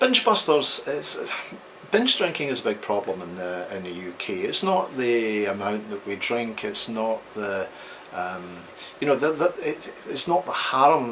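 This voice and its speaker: A man with a Scottish accent, medium pitch and lively intonation, at a moderate pace amid noticeable background noise. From Scotland. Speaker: psychologist. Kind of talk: interview. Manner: hesitant, frequent ums.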